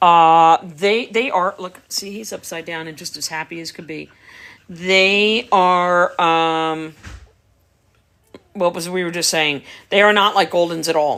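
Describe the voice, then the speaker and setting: A woman with a New York accent speaks at a fairly slow pace in a fairly low pitch. Her intonation is fairly even, but her loudness swings widely. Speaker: dog breeder. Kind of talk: live stream chat. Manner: casual, conversational.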